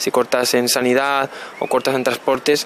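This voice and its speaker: A man speaks with monotone, flat intonation. The sound is dry with no echo, and there is light background noise. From Canary Islands (Las Palmas), born in Burgos; Canary Islands. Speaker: particle physicist; interviewee. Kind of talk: interview. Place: waterside. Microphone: handheld.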